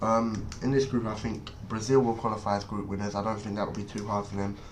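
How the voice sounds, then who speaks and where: A man speaks with an English accent. Audible room echo can be heard around him. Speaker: football YouTuber. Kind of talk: casual monologue. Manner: hesitant, many fillers.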